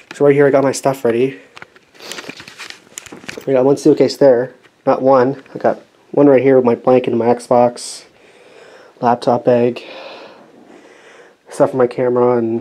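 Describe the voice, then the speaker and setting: At a moderate pace, a man talks in a monotone, flat intonation broken by long, frequent pauses. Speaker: vlogger. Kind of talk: casual vlog chat. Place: home room. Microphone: phone near.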